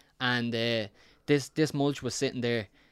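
A man speaks in a Dublin accent with fairly even intonation. The recording is very clean, with a silent background. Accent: Dublin Irish. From South Dublin, Ireland. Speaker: podcast co-host with one eye. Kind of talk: casual chat.

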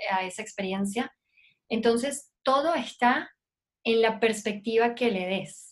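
With a coastal Mexican accent, a woman speaks at a fairly high pitch with ordinary pitch variation. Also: fairly slow pace. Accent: coastal Mexican accent, remarked on by hosts. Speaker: lactation specialist. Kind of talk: casual interview chat. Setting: video call.

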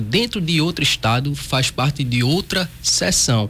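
A man with a Pernambuco accent, medium pitch, lively intonation and a fairly slow pace. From Pernambuco, Brazil. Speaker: federal judge. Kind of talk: radio interview. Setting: radio studio.

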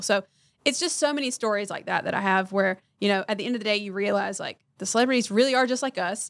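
Here is a woman with an American accent and an unremarkable speaking voice. Her pitch varies in an ordinary way. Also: very clean recording, silent background. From North Carolina, Harnett County. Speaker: publicist. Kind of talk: casual interview. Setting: studio.

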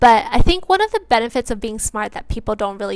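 A woman is speaking. Her pitch is fairly high. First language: bilingual English and Mandarin Chinese. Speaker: solo podcaster. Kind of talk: monologue.

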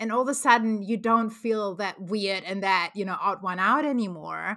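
At a moderate pace, a woman speaks at medium pitch in a bright, sharp tone, on a very clean recording with a silent background. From Germany. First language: German. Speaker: van lifer and marketing freelancer. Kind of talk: casual interview chat. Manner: hesitant, many fillers.

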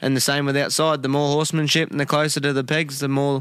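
In an Australian accent, a man with a fairly high pitch speaks with monotone, flat intonation. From Queensland, Australia (Gracemere). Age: 20s. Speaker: camp drafter, horse rider. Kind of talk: interview. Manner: halting.

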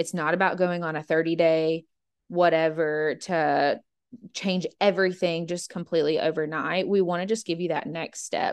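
Speaking at a moderate pace, a woman with an American accent has a plain, everyday voice with fairly low pitch. Her intonation is fairly even, and the background is quiet. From Georgia, US. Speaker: podcast co-host. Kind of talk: casual chat.

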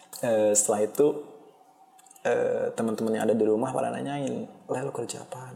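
A man's moderately paced speech comes through over noticeable background noise. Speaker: solo podcaster. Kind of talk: casual monologue. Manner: halting. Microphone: poor-quality microphone.

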